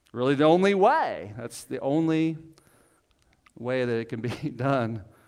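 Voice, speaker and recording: A man's fairly high, lively voice, an ordinary speaking voice, in a very clean recording with a silent background. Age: 40s. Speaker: pastor. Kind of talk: sermon. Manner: casual, conversational.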